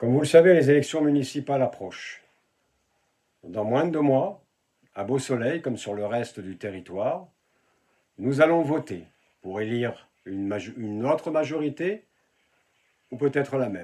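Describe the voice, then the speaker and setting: A man's medium-pitched voice with a dark, mellow tone and lively intonation, at a moderate pace with long, frequent pauses. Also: very clean recording, silent background. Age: 60s. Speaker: local election candidate. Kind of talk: political campaign address.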